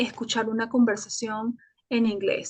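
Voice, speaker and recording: A woman's fairly high voice at a moderate pace, in a dry, close sound with no echo. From Venezuela, Caracas. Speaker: Spanish teacher and journalist. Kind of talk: interview. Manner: hesitant, with fillers and self-repairs.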